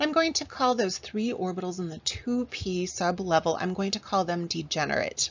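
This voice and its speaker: A woman speaks at a medium pitch with lively intonation. Her voice is somewhat breathy. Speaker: chemistry teacher. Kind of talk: lecture. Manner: animated.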